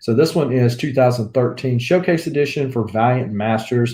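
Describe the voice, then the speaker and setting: A man's relaxed, dark, mellow voice, somewhat breathy, at medium pitch with ordinary pitch variation, a moderate pace, and a Southern US accent. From US South. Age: 40s. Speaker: comic book YouTuber. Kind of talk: casual livestream chat. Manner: relaxed, many fillers.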